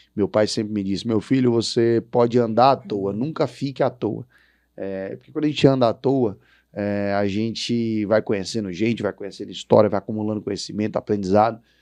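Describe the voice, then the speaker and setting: Against a quiet background, a man talks at a fairly quick pace with fairly even intonation. His pitch is fairly low, and his tone is dark and mellow. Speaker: podcast host, agribusiness executive. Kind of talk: interview podcast closing remarks.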